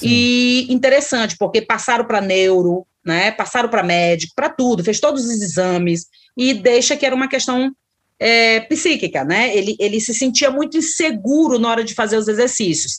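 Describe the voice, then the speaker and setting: With a plain, everyday voice, a woman speaks at a moderate pace, her fairly high pitch rising and falling in lively intonation. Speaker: psychologist and professor. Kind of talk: interview.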